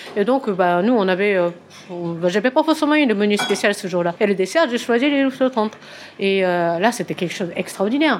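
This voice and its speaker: At a moderate pace, a woman with a Japanese accent and a medium pitch speaks with lively intonation. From Japan, Tokyo. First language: Japanese (speaking French). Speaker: pastry consultant. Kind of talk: interview. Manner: halting.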